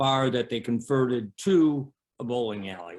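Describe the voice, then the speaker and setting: This is a normal speaking voice with ordinary pitch variation. It moves at a fairly slow pace. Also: man. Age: 60s. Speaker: bowling alley owner. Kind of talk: interview.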